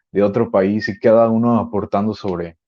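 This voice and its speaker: The voice belongs to a man. It is pitched fairly low. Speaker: podcast guest. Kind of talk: panel discussion. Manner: fast.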